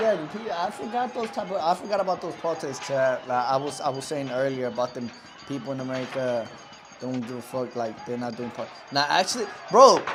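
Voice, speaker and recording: With noticeable background noise behind him, a man with a fairly high pitch talks at a fairly quick pace in an animated tone, his pitch swinging very widely. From Mexico. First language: Spanish. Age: 20s. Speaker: live streamer. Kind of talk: live stream reaction, casual chat.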